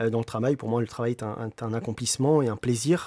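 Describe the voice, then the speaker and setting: A man talks at a fairly quick pace with fairly even intonation, his medium-pitched voice dark and mellow in tone. The recording is very clean with a silent background, dry and close with no echo. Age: 30s. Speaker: entrepreneur. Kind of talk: interview. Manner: hesitant, many fillers.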